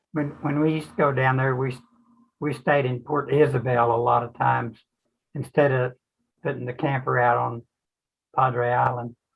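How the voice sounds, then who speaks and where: Pausing long and often, a man with a medium-pitched, somewhat breathy voice speaks at a moderate pace in a monotone, flat intonation. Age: 80s+. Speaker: retiree, ham radio club member. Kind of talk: casual chat.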